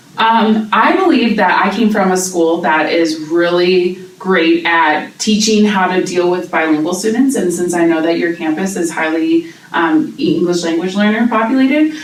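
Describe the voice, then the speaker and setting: Energetic in tone, a woman with a fairly low pitch and ordinary pitch variation speaks at a moderate pace with hardly any pauses. Audible room echo and noticeable background noise fill the recording. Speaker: teacher, job interview candidate. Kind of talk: mock job interview. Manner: loud, energetic.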